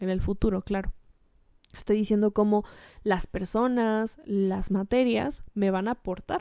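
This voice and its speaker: On a very clean recording with a silent background, a woman with a dark, mellow tone and fairly high pitch speaks at a moderate pace with fairly even intonation. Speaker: educational podcaster. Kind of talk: tutorial.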